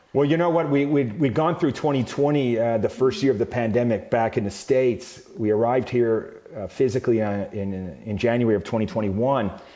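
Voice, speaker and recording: A fairly quick delivery with ordinary pitch variation, hardly any pauses, and noticeable background noise. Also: man, medium pitch for a man. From Canada. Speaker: company CEO. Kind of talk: interview. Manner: hesitant with many fillers.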